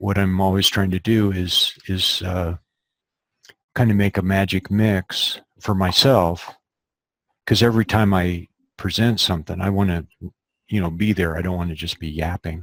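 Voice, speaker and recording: A man's very deep, low voice with fairly even intonation and long, frequent pauses, in a dry, close sound with no echo. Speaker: eyesight coach. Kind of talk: webinar Q&A. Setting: live webinar. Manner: slow; deliberate easy rhythm.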